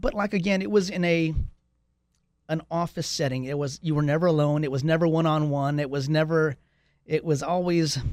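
With an American accent, a man speaks in an unremarkable speaking voice at a moderate pace, his fairly high pitch showing ordinary variation. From Texas, San Antonio (southeast side). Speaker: real estate agent. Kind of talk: casual interview chat.

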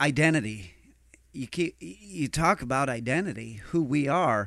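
A man with an ordinary speaking voice and lively intonation talks at a fairly slow pace in a very clean recording with a silent background. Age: 40s. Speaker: pastor. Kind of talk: casual chat. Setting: studio.

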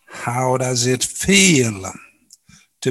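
A man with a medium pitch delivers his words very slowly. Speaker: podcast host. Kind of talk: interview, conversational.

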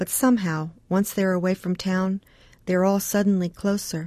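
A woman's fairly low, dark, mellow voice at a moderate pace, monotone and flat, in a very clean recording with a silent background. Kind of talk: scripted story narration, reflective and intimate.

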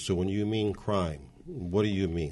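Very deep and low, this man's voice holds a fairly even intonation. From Montebello, Los Angeles area, California. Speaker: city council candidate and lawyer. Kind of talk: interview.

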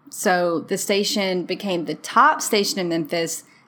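Medium pitch, from a woman. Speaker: history podcast co-host. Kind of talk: casual history podcast narration. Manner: put-on radio announcer voice.

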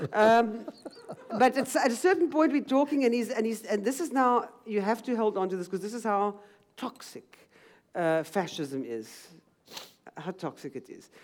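Her fairly high voice swings very widely in pitch and jumps a lot in loudness. The woman leaves long, frequent pauses. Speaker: writer and journalist. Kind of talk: book talk on stage, conversational. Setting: stage with audience, library. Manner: animated, fast talker.

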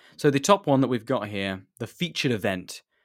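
On a very clean recording with a silent background, a man speaks with a southern English accent. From southern England, near Reading. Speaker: podcast host. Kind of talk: solo live stream chat.

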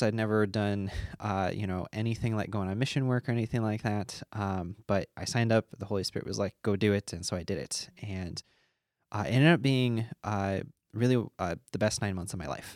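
A man with an American accent talks at a fairly quick pace and fairly low pitch, with ordinary pitch variation. The sound is dry and close with no echo, in a very clean recording with a silent background. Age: 20s. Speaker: math teacher and former missionary. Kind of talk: personal testimony interview. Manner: hesitant with many fillers.

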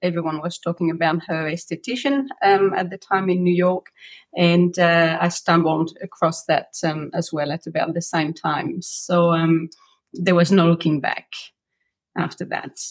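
A woman speaks with a French accent. Her pitch is fairly low and her pace fairly slow. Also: fairly even intonation. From France. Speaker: massage therapist. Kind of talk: interview. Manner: hesitant, many fillers.

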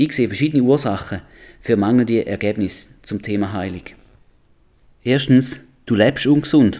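On a very clean recording with a silent background, a man with a dark, mellow tone speaks at a moderate pace with ordinary pitch variation. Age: 40s. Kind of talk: Bible teaching podcast.

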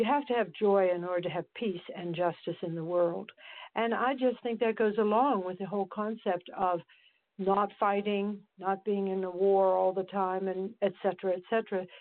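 A woman's unremarkable speaking voice at a medium pitch and moderate pace, with fairly even intonation. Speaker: podcast host. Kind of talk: casual interview chat.

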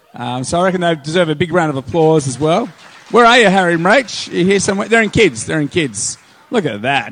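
A man with an Australian accent talks at a fairly quick pace with very wide pitch swings over noticeable background noise. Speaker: pastor. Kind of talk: sermon. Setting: church with live audience.

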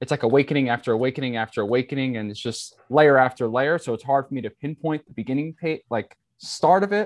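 A man with an American accent, fairly high-pitched, talking very fast, in a dry, close recording with no echo and a quiet background. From New York, Staten Island. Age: 20s. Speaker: spiritual teacher. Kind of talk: casual interview.

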